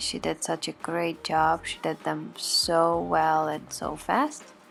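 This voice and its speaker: Music plays behind a woman who talks very slowly. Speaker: lifestyle vlogger, mother. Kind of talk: DIY vlog narration. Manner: soft-spoken.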